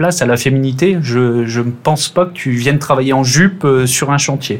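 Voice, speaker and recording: In a plain, everyday voice, a man talks at a fairly high pitch with ordinary pitch variation. His pace is moderate. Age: 30s. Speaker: railway team manager. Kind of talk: casual interview. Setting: remote call.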